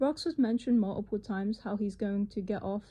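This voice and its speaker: A woman with a fairly high, somewhat breathy voice and a dark, mellow tone speaks at a moderate pace. Her intonation is fairly even, over a quiet background. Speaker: commentary youtuber. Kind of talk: video commentary. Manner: atypical speech from neurological condition. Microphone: phone recording, no professional audio.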